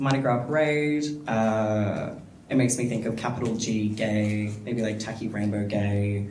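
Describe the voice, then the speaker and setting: A man talks at a fairly slow pace with a fairly low pitch and fairly even intonation. Noticeable background noise and audible room echo surround him. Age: 20s. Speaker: panellist. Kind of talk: panel discussion.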